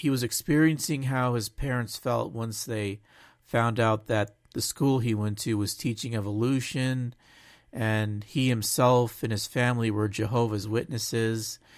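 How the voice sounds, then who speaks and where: Over a silent background in a very clean recording, a man speaks at a fairly slow pace with medium pitch and fairly even intonation. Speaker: podcast host. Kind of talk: casual chat. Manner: halting, self-correcting.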